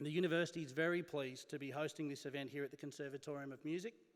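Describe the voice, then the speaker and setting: Fairly even intonation and a very fast pace mark this speaker with an Australian accent. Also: man. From Australia, Wellington NSW. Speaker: university executive, event MC. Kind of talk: event MC speech. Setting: stage with audience.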